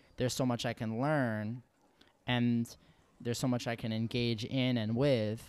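Speech in an American accent comes at a moderate pace with long, frequent pauses and a monotone, flat intonation. The recording is very clean with a silent background. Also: man, medium pitch for a man. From New York. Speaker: podcast host and professor. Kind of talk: casual interview chat.

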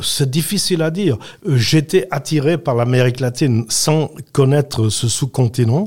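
A somewhat breathy man, fairly high-pitched, at a fairly slow pace with ordinary pitch variation. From Switzerland, Valais (Saxon). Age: 80s+. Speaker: retired politician. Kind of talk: interview.

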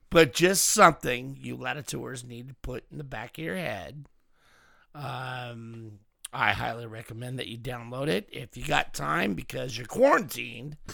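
A man speaks at a moderate pace with a medium pitch and lively intonation. His tone is bright and sharp, with some vocal fry. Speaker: podcast host. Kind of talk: casual chat.

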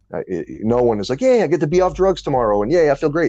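A man speaks with music playing in the background. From New Orleans and Detroit. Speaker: podcast host. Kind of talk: casual interview.

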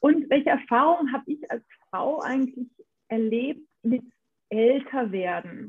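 Her voice is high-pitched, with ordinary pitch variation. This woman speaks at a fairly slow pace with long, frequent pauses. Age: 40s. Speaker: podcast co-host. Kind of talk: casual chat.

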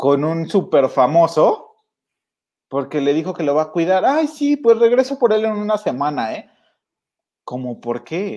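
A man's high-pitched voice with a dark, mellow tone and a Mexican accent, fairly slow with long, frequent pauses and very wide pitch swings, against a quiet background. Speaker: podcast host. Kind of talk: casual chat.

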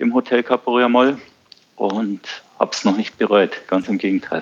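A man with a southern German accent speaks at a moderate pace and medium pitch. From southern Germany, Bavaria (Ammersee). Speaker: surf school owner. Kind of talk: podcast interview.

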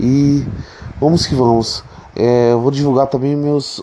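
Noticeable background noise sits behind a man speaking at a fairly slow pace. His pitch is fairly high, and his intonation fairly even. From Brazil, Rio de Janeiro. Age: 30s. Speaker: podcast host. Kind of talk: casual self-introduction. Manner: halting.

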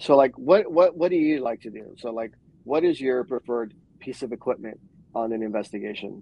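Talking at a fairly quick pace in an American accent, a man has a plain, everyday voice at medium pitch, with lively intonation and big swings in loudness. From New York. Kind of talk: casual chat. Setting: live video stream.

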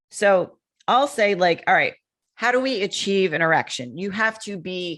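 Over music in the background, a woman talks with an American accent. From Connecticut, New England. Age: 40s. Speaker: testosterone and men's health expert. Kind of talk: podcast interview. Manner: animated.

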